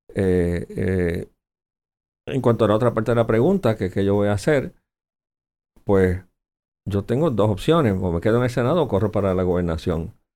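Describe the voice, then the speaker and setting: A man with a fairly low pitch and a dark, mellow tone speaks at a moderate pace with ordinary pitch variation. The recording is very clean, with a silent background. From Puerto Rico. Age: 60s. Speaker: senator. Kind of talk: political interview.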